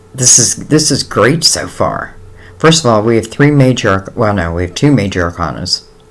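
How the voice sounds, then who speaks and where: This man speaks at a moderate pace and a medium pitch with lively intonation. Noticeable background noise runs underneath. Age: 60s. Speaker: tarot reader. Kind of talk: tarot reading. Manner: casual, hesitant with fillers.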